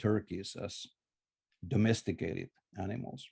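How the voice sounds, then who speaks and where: The man's voice is fairly low, with a dark, mellow tone. He speaks fairly slowly with a Finnish accent. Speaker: scholar of Maya languages. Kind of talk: conference lecture. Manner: halting, many filler uhs.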